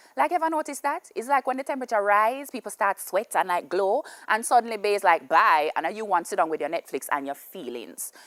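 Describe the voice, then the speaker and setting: With very wide pitch swings and hardly any pauses, the speaker goes at a fairly quick pace in a dry, close recording with no echo. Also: woman, medium pitch for a woman. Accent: Jamaican. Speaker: comedian. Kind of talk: comedic monologue.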